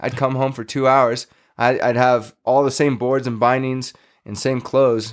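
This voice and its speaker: Over a silent background in a very clean recording, a man with an American accent speaks at a moderate pace and a medium pitch. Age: 40s. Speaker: former pro snowboarder. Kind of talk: casual interview chat. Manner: animated, energetic.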